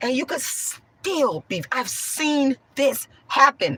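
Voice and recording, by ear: A hoarse woman's voice, high-pitched and slow, with big pitch swings, a bright, sharp tone and a slightly husky edge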